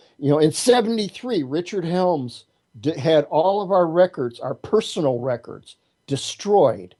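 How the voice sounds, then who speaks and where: The man's voice is high in pitch, with a dark, mellow tone. He speaks fairly slowly, and his intonation is lively. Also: quiet background. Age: 60s. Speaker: martial artist and witch. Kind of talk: interview. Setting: internet radio show. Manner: repetitive, halting starts.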